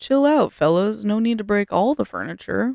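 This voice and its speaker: A put-on character voice, fairly high in pitch, delivers its lines at a moderate pace. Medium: read story. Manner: casual, easygoing.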